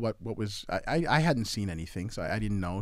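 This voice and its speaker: The recording is very clean, with a silent background. Moving at a fairly quick pace, the speaker has a plain, everyday voice. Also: man. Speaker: event organizer and artist. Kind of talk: casual chat.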